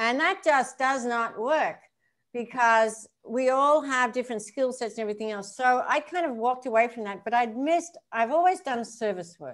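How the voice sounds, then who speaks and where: A woman with an Australian accent talks at a high pitch with ordinary pitch variation. The recording is very clean, with a silent background. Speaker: professional golfer and recovery coach. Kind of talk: casual interview chat. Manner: animated.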